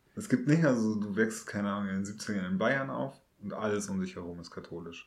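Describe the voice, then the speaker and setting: In a room with audible echo, a man speaks fairly quickly at a fairly low pitch with ordinary pitch variation. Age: 30s. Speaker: podcast host. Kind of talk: casual chat.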